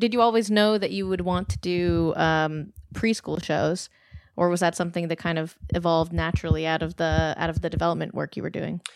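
This woman has an unremarkable speaking voice, pitched fairly low with ordinary pitch variation. She talks at a fairly quick pace. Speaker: podcast interviewer. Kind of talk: interview.

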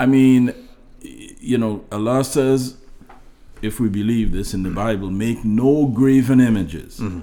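With a dark, mellow tone, a man talks with ordinary variation in pitch. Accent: Trinidadian. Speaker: guest's father. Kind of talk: casual interview chat.

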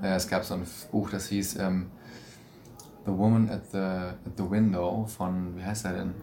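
Audible room echo surrounds a fairly slow, monotone delivery with flat intonation and long, frequent pauses. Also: man, very deep, low pitch for a man. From Stuttgart, southwestern Germany. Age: 20s. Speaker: stage actor. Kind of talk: interview. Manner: hesitant, many fillers.

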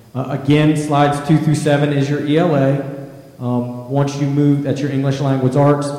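Over noticeable background noise, a man with a fairly high pitch talks at a moderate pace in a monotone, flat way. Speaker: school district assessment administrator. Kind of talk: presentation. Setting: board meeting.

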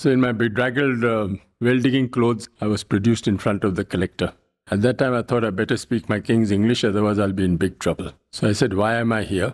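This man's medium-pitched voice moves at a very fast pace with fairly even intonation. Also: very even loudness. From India. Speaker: social activist. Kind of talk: interview conversation.

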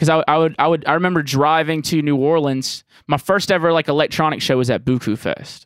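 A man with a Southern US accent speaks at a fairly quick pace, his pitch fairly high and his intonation fairly even. His loudness stays very even, and he hardly pauses. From Jackson, Mississippi. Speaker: music producer and comedian. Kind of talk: casual chat.

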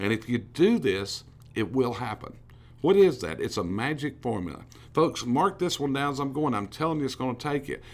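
With vocal fry and very wide pitch swings, a man speaks at a medium pitch and a moderate pace. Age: 60s. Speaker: business coach. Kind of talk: motivational talk. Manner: animated.

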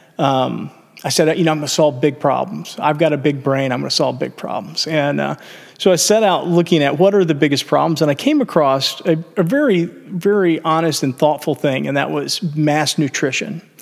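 With ordinary pitch variation, a man talks in an unremarkable speaking voice. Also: fairly high pitch for a man, moderate pace. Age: 50s. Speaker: entrepreneur. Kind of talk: casual chat.

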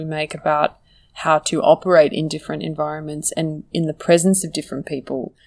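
In an Australian accent, a woman speaks at a fairly quick pace with a very deep, low pitch. Her intonation is monotone and flat, on a very clean recording with a silent background. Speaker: writer and author. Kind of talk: interview.

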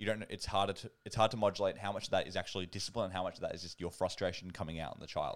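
Speaking very fast in an Australian accent, a man uses a very deep, low pitch and fairly even intonation. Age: 20s. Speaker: podcast host. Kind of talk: casual chat. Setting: online call.

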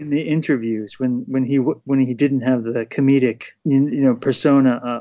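A man's normal speaking voice with an American accent, medium in pitch, at a moderate pace with hardly any pauses and fairly even intonation. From US Northeast, Poughkeepsie New York. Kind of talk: casual discussion.

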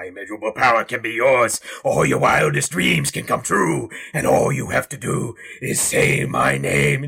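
In a raspy, put-on character voice, a man speaks at medium pitch. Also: moderate pace. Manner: tempting, menacing.

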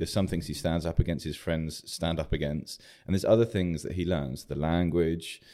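A man with a very deep, low pitch and a dark, mellow tone, with a southern English accent, fairly quick pace and fairly even intonation. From southern England. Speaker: church planter. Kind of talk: interview.

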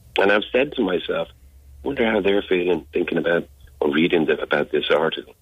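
A man talks at a fairly quick pace, keeping his loudness very even. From Dublin, Ireland. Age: 50s. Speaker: abuse survivor, interviewee. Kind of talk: radio interview testimony. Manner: halting, repeats words.

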